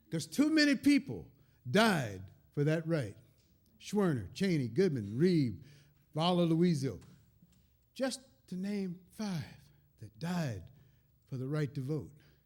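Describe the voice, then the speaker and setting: In a Southern US accent, the speaker goes at a very slow pace with long, frequent pauses, very wide pitch swings and big swings in loudness. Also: man, fairly high pitch for a man. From Kentucky. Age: 70s. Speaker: folk musician and storyteller. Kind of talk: storytelling at a concert. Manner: animated.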